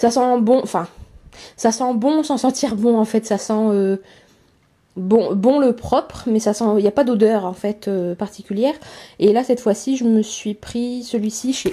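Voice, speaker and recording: A woman speaks fairly slowly in a fairly high pitch with a dark, mellow tone and long, frequent pauses. The recording is very clean with a silent background. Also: ordinary pitch variation. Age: 20s. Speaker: dairy farmer and small stable manager. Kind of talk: casual talk to camera.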